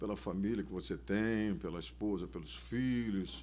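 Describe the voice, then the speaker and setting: A man speaks with a fairly low pitch. Audible room echo is present. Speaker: samba cavaquinho player and composer. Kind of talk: casual interview chat.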